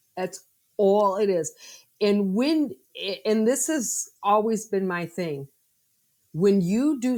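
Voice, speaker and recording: A woman's medium-pitched voice with lively intonation on a very clean recording with a silent background. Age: 60s. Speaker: food industry professional and connector. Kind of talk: interview conversation.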